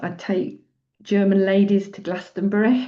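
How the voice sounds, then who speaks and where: A woman speaks with a Yorkshire accent. Her pitch sits in the medium range. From northern England, Doncaster, Yorkshire. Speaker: retreat leader and psychologist. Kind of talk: personal sharing in group circle. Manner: halting.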